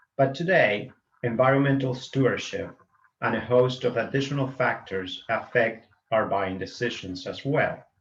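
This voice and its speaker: Speaking at a moderate pace, a man uses a medium pitch with ordinary pitch variation and a somewhat breathy sound. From Argentina, small agricultural town in the Pampas. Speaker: veterinarian, conference moderator. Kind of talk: conference opening remarks. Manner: halting, some false starts.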